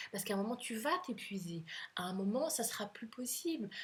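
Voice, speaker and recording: A woman at a fairly high pitch, somewhat breathy, at a moderate pace. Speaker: couples coach. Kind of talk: advice monologue to camera. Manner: hesitant fillers.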